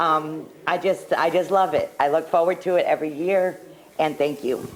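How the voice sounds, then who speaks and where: Against noticeable background noise, a woman talks at a moderate pace with fairly even intonation and a fairly low pitch. Her loudness stays very even. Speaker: local restaurant owner, sponsor. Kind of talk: casual chat on live telethon.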